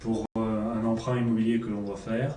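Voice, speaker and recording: A man with a medium-pitched voice talks at a moderate pace. Noticeable background noise and audible room echo surround him. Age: 30s. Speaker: patient in a role-played consultation. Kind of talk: simulated doctor-patient consultation. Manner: hesitant.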